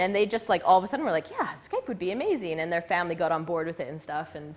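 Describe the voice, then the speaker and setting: Loud and at a very fast pace, a woman talks with a Canadian accent over noticeable background noise. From western Canada. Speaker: presenter. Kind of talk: live talk.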